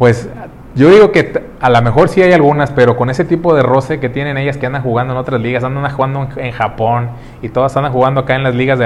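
Noticeable background noise behind a man's fairly quick speech with ordinary pitch variation. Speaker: podcast host. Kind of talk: casual chat.

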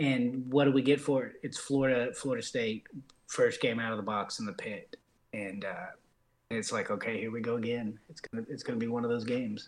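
An ordinary speaking voice at a moderate pace, with fairly even intonation. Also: man. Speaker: sim league broadcaster. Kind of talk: casual group chat about sim football broadcasting.

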